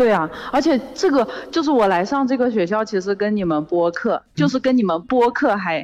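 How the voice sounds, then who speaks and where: A woman talks at a fairly quick pace in a fairly high pitch. Her pitch swings very widely. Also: very even loudness. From Zhejiang. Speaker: caller, student. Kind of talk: casual chat. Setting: phone call.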